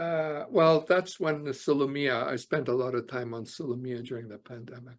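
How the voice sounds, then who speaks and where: A man's medium-pitched voice with a Canadian accent, at a moderate pace, with ordinary pitch variation and big swings in loudness. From Canada (Alberta). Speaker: author and immigration lawyer. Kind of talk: interview conversation. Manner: hesitant, many fillers.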